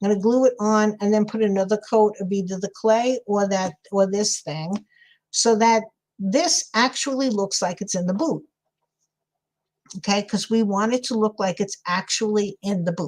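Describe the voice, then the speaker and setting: In a New York accent, a woman speaks at a medium pitch and moderate pace with ordinary pitch variation, on a very clean recording with a silent background. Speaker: crafter livestreaming a sculpting tutorial. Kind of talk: casual live-stream tutorial with chat. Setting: live stream. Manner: chatty, thinking aloud.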